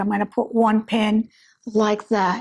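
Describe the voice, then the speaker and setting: A woman's voice at a moderate pace. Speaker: fashion designer and sewing teacher. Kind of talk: tutorial. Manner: casual, filler-heavy.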